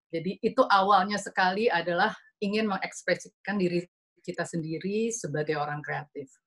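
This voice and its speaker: A woman's fairly low voice with ordinary pitch variation, against a quiet background. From Indonesia. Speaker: design director and co-founder of an art and design event; speaker. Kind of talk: slide presentation. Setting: video call webinar. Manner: fast. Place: home room. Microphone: video call.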